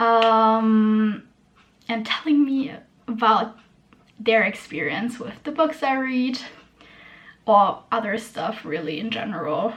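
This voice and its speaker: Speaking in a German accent, a woman with a fairly high pitch sounds somewhat breathy at a very slow pace. Long, frequent pauses and audible room echo mark the clip. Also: lively intonation. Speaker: booktuber. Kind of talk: casual chat. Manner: hesitant, many fillers.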